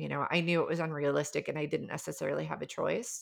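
A woman with an American accent is heard in a very clean recording over a silent background. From US Midwest. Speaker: life coach and healer. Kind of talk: casual chat. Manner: engaging, passionate.

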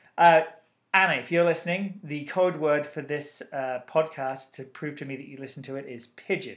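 Using a plain, everyday voice, a man with a fairly high pitch talks at a moderate pace with fairly even intonation and big swings in loudness. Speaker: podcast host. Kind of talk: casual banter podcast chat. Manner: bantering, teasing.

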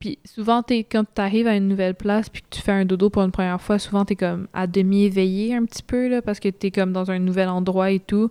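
A woman's dark, mellow voice in a Quebec accent, medium in pitch and monotone, flat in intonation, at a very fast pace with hardly any pauses, in a very clean recording with a silent background and a dry, close sound with no echo. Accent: Québécois French. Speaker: traveller. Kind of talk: casual interview.

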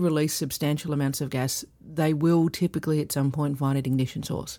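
A woman's very deep, low voice with a dark, mellow tone at a fairly quick pace, on a very clean recording with a silent background. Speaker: process safety expert and co-host. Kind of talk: casual expert discussion, podcast conversation.

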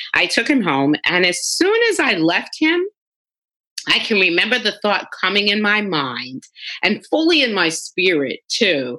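A woman with an American accent speaks at a fairly slow pace in a medium pitch, her bright, sharp tone swinging very widely in pitch over vocal fry at very even loudness. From New York City (the Bronx). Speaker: conflict resolution coach. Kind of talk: interview.

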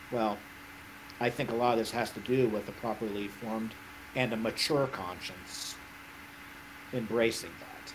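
With an American accent, a man talks at a moderate pace in a medium pitch and a monotone, flat intonation, leaving long, frequent pauses over noticeable background noise. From Florida, US. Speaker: middle school theology teacher. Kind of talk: casual discussion on theology. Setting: online livestream.

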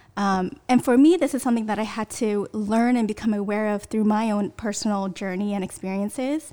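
With a Californian accent, the speaker has a dark, mellow tone and ordinary pitch variation, talking at a fairly quick pace in a very clean recording with a silent background. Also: woman. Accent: Californian American. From US West Coast, Bay Area (Sunnyvale). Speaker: church member, race cohort participant. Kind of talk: casual chat.

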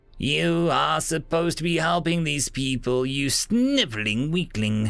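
Doing a put-on character voice, a man growls at a moderate pace in a fairly high pitch. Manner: snarling, contemptuous.

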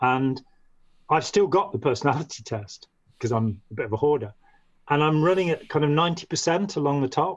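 A man in a Midlands accent, fairly high in pitch, with lively intonation at a moderate pace. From English Midlands, Staffordshire. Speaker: former cult member, writer and artist. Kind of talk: interview.

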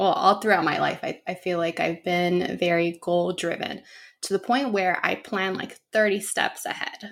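Speaking at a moderate pace, a woman has an unremarkable speaking voice, medium in pitch, with fairly even intonation. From Los Angeles, US (born in Guatemala). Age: 20s. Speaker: psychotherapist. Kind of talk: casual chat.

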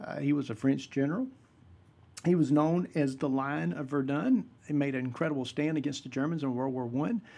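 A man with a Southern US accent speaks at a moderate pace against a quiet background. His voice is fairly high-pitched, with a dark, mellow tone. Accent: Southern US (Georgia). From US South, South Georgia (Vidalia). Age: 50s. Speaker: pastor and podcast host. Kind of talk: solo podcast monologue, casual teaching.

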